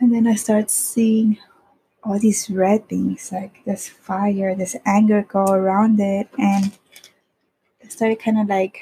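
At a slow pace, a woman speaks in a medium pitch with a dark, mellow tone, a husky, rough edge and little pitch movement.

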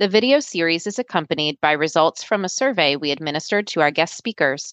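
A woman speaks in an unremarkable speaking voice with lively intonation. The background is quiet. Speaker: podcast co-host, language researcher. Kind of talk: scripted narration. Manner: formal.

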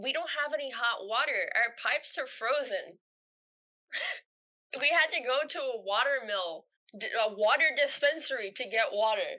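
With a bright, sharp tone and a raised, projected voice, a woman speaks at a high pitch and a moderate pace, using lively intonation and long, frequent pauses. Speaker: podcast co-host. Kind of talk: casual chat.

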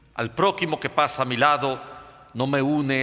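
A man's voice with noticeable background noise. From Dominican Republic, Santo Domingo. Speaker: writer. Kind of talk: reading aloud. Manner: formal.

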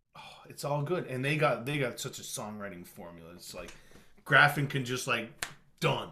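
A man of medium pitch sounds animated, with lively intonation. Noticeable background noise and audible room echo surround him. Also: moderate pace, big swings in loudness. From Nova Scotia. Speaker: singer-songwriter and music educator. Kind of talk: casual chat.

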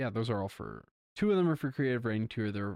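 No sound at all comes from behind the voice, and the recording is very clean. It has a dry, close quality with zero echo. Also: man. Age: 20s. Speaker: podcast co-host, arts student. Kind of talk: casual chat. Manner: animated.

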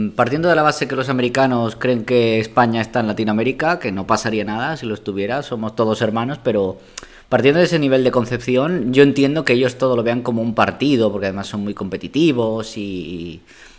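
A man at a medium pitch with ordinary pitch variation moves at a fairly quick pace with hardly any pauses. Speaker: podcast guest, host's partner. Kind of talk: casual chat. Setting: home dining room.

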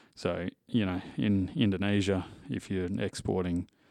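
Recorded very cleanly against a silent background, a man speaks with a very deep, low pitch and monotone, flat intonation. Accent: Australian. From Western Australia. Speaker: livestock export manager. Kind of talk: interview.

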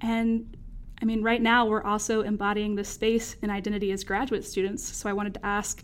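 A woman with an American accent has a normal speaking voice at a fairly high pitch. She speaks at a moderate pace with ordinary pitch variation. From North Carolina, US South. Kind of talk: casual academic conversation.

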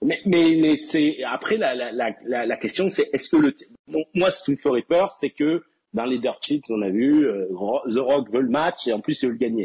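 A man with an ordinary speaking voice and fairly high pitch talks at a fairly slow pace, recorded with a dry, close sound and no echo. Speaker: wrestling fan guest. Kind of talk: casual chat. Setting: voice chat call.

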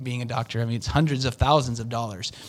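In a very clean recording with a silent background, a man with a Western US accent speaks at medium pitch with fairly even intonation. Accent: American, Western US. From Utah. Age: 40s. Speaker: door-to-door sales manager. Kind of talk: interview.

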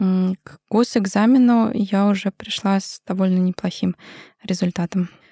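A somewhat breathy woman talks at a fairly slow pace in a dark, mellow tone with fairly even intonation, recorded very cleanly against a silent background with a dry, close sound and no echo. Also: medium pitch for a woman. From Russia, Moscow. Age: 30s. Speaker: maxillofacial surgeon. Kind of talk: interview.

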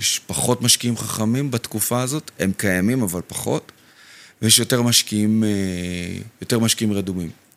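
A man with a medium-pitched voice talks at a fairly quick pace with ordinary pitch variation, and the sound is dry and close with no echo. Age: 30s. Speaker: real estate consultant. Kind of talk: casual chat. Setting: studio.

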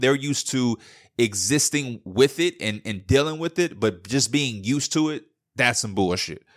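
Animated and lively in intonation, a man speaks at medium pitch and a moderate pace, captured in a very clean, dry, close recording with a silent background and no echo. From Chicago. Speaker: podcast host. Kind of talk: casual monologue.

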